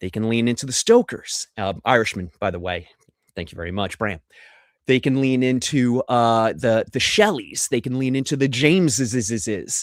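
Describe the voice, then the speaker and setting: Over a silent background in a very clean, dry, close recording with no echo, a man at a medium pitch speaks at a moderate pace with an animated tone and lively intonation. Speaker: horror film presenter. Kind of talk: slideshow presentation on a livestream.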